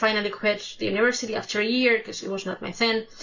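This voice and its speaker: With a Spanish accent, a woman talks in a monotone, flat intonation. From Spain. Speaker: music reaction youtuber. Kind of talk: casual personal storytelling to camera. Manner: halting, self-correcting.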